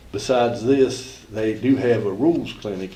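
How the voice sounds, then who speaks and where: Noticeable background noise and audible room echo surround the voice. Its pitch varies in an ordinary way. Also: man. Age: 70s. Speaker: golf coach. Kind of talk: public comment at board meeting. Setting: school board meeting.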